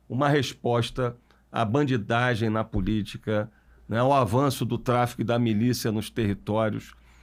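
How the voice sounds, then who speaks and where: The recording is very clean, the background silent. A man with a normal speaking voice talks at medium pitch and a moderate pace, his intonation fairly even. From Brazil, Niterói (Rio de Janeiro state). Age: 40s. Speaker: mayor, politician. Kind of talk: podcast interview.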